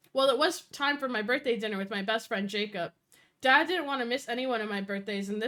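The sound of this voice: The background is quiet. Over it comes an unforced reading voice with ordinary pitch variation.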